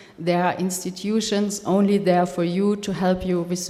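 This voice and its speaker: In a German accent, a woman speaks fairly slowly at a fairly low pitch with monotone, flat intonation. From Germany. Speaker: film funding expert. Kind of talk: workshop talk. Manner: halting.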